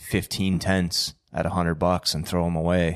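This man speaks in a Canadian accent at a moderate pace, his pitch very deep and low. His intonation is monotone and flat, and the recording is very clean with a silent background. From Ontario. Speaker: small business founder. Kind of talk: casual chat.

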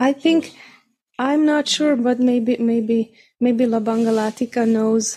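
In a very clean recording with a silent background, a woman speaks very slowly at a high pitch, her dark, mellow tone showing ordinary pitch variation. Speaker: devotee asking questions. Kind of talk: group discussion.

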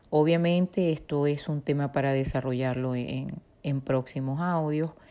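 This woman's voice has a dark, mellow tone. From Venezuela. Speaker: psychologist and podcast host. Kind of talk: educational talk.

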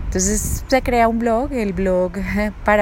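The speech comes at a moderate pace. Audible room echo and noticeable background noise are present. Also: woman. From Colombia, raised in Bogotá (born Bucaramanga). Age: 40s. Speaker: life coach and podcast host. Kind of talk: personal monologue. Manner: hesitant, many fillers.

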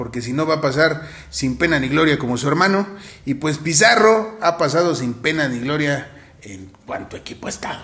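Over noticeable background noise, a man talks at a moderate pace with a fairly high pitch. His intonation is lively, and his loudness swings widely. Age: 20s. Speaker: podcast co-host. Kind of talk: casual chat.

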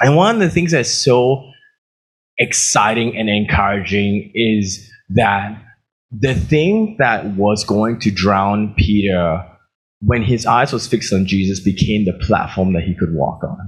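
A man speaks at a fairly slow pace with a fairly low pitch. His voice is somewhat breathy, with ordinary pitch variation. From Australia. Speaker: pastor. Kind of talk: sermon.

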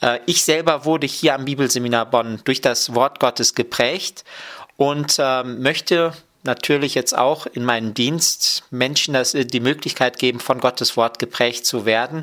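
The man has an unremarkable speaking voice at a medium pitch. He talks at a fairly slow pace with fairly even intonation. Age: 30s. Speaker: Bible college lecturer and dean of students. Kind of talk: radio interview.

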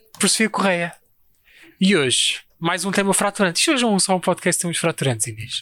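This man's high, bright, sharp voice has lively intonation and a dry, close sound with no echo. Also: fairly quick pace, very clean recording, silent background. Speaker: podcast co-host. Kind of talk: casual chat.

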